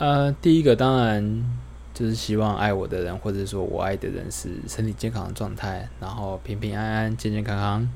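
Audible room echo surrounds a man speaking at a fairly low pitch. His pace is moderate and his pitch swings very widely. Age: 30s. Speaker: podcaster. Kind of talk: casual monologue. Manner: unscripted, rambling with fillers.

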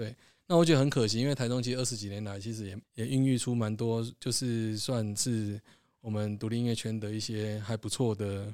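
A man with a Taiwanese accent speaks with fairly even intonation on a very clean recording with a silent background. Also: medium pitch for a man, fairly quick pace. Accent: Taiwanese Mandarin. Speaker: podcast host and music label founder. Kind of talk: casual chat.

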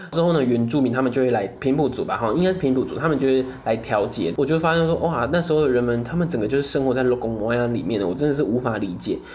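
Someone with a Taiwanese accent talks at a very fast pace over noticeable background noise. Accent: Taiwanese Mandarin. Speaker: podcast co-host. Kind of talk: casual solo chat.

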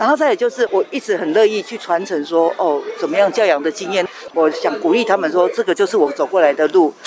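Speaking at a fairly quick pace with hardly any pauses, a woman uses lively intonation. Her medium-pitched voice sits over noticeable background noise. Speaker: mother of a musician with Down syndrome. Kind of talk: interview testimony.

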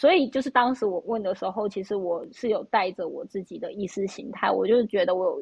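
Her voice is somewhat breathy and fairly high. The woman keeps a fairly quick pace. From Taiwan. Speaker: podcast host. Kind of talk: casual chat.

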